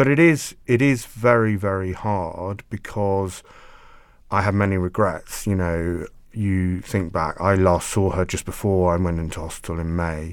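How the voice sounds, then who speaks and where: A man with a very deep, low voice speaks at a fairly slow pace with ordinary pitch variation. The recording is very clean, with a silent background. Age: 40s. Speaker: freelance journalist and biographer. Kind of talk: interview, personal testimony. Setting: studio, sitting opposite host.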